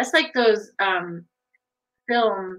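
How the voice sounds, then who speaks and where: A woman's very slow delivery with ordinary pitch variation and a quiet background. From Sault Ste. Marie area, Ontario, Canada. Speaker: online show host. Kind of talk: casual interview chat. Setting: video livestream. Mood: warm, friendly, smiling. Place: home room. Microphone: webcam.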